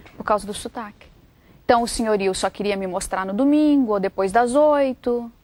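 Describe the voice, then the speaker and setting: This woman has a Brazilian accent and a fairly high pitch. She talks at a moderate pace with ordinary pitch variation. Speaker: author. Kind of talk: interview.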